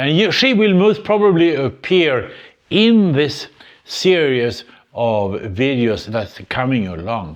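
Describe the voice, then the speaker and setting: Delivered at a very slow pace, this voice with a Swedish accent makes very wide pitch swings. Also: man, fairly high pitch for a man. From Sweden. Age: 80s+. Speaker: retired engineer, YouTuber. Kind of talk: casual talk to camera. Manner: hesitant, reflective.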